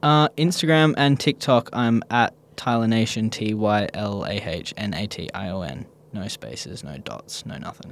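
The speaker has an Australian accent and a moderate pace. Both loudness and pitch swing very widely. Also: man, fairly low pitch for a man. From Perth, Australia. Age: 20s. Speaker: skate shop manager and skate instructor. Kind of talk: casual interview.

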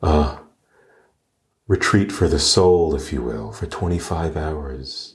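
Very deep and low, this man's voice carries vocal fry and a calm, gentle tone as he talks at a very slow pace. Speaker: meditation guide podcast host. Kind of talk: guided meditation. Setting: live Zoom gathering, recorded. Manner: calm, gentle, slow-paced, soothing; warm, addressing listeners as dear friends.

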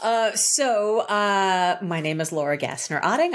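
The recording of this woman is very clean, with total silence behind her. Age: 50s. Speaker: author and speaker. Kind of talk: casual chat.

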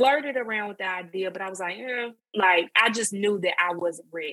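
The speaker has an Alabama accent and ordinary pitch variation. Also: woman. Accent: Southern US (Alabama). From US South, northwest Alabama. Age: 30s. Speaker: online creator. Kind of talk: personal story in interview. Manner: hesitant, many fillers.

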